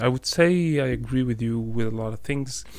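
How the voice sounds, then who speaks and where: In an Arabic accent, a man speaks at a fairly slow pace. His pitch is medium, with ordinary variation. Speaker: podcast co-host. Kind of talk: casual chat.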